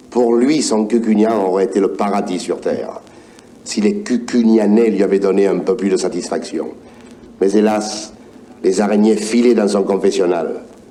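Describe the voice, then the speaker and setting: A fairly slow pace, ordinary pitch variation and a Provençal accent, over noticeable background noise. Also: man. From Provence. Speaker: actor. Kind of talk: story reading on record. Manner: warm.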